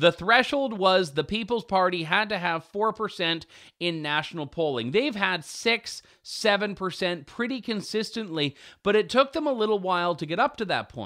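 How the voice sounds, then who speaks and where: In a very clean recording with a silent background, a man speaks in a raised, projected voice with a high pitch, lively intonation and a bright, sharp tone. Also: moderate pace. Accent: Canadian. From Canada (Ontario). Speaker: talk show host and journalist. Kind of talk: talk show commentary.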